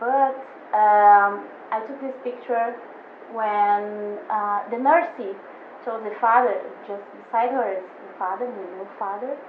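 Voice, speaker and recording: A woman speaks at a very slow pace with a Portuguese accent and ordinary pitch variation. The room echo is audible, and there is noticeable background noise. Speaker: photographer. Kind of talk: casual chat. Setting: studio. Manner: halting, many fillers. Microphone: poor audio.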